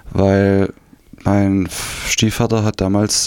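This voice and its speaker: A man speaks at a fairly low pitch. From East Germany, Saxony (Dresden region). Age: 50s. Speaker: former GDR refugee. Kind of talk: interview testimony. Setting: radio studio. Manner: hesitant, many fillers.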